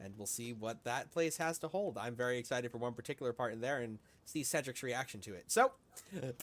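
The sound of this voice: The reading voice here is unforced.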